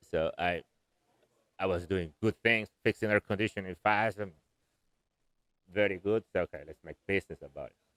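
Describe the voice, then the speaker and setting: Moderately paced speech with a Spanish accent, fairly even intonation, big swings in loudness and long, frequent pauses, in a dry, close sound with no echo. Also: man, fairly low pitch for a man. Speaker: air conditioning contractor. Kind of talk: interview. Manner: halting.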